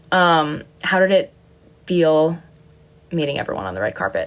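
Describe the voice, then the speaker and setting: Noticeable background noise accompanies a woman with a fairly low pitch speaking at a fairly slow pace. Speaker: content creator. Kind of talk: casual livestream chat. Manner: animated.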